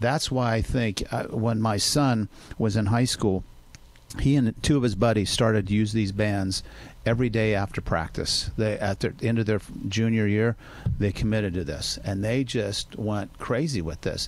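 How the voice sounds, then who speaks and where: This man has a fairly low pitch and ordinary pitch variation. He keeps a moderate pace. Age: 60s. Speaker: doctor on radio health segment. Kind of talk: radio interview. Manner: animated.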